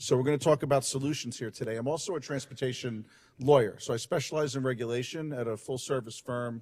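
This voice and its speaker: Very fast and fairly even in intonation, a man talks with a New York accent at medium pitch. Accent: New York City. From New York City, Brooklyn. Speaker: transportation lawyer and lecturer. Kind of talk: conference talk. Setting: conference stage, live streamed.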